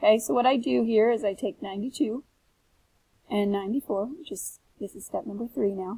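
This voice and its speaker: Speaking at a fairly quick pace, a woman uses a fairly high pitch, a dark, mellow tone, lively intonation and a somewhat breathy delivery. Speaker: teacher. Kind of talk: tutorial. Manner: fast.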